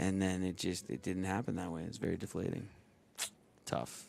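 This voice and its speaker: A man's very deep, low voice with vocal fry and long, frequent pauses. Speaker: sports podcast co-host. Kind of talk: casual chat.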